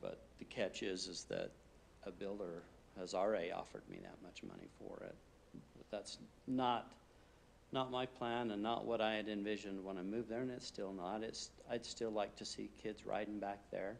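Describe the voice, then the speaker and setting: Speaking at a moderate pace with fairly even intonation, a man with a fairly low pitch has an ordinary speaking voice. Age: 50s. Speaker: applicant at city planning meeting. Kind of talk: public meeting testimony.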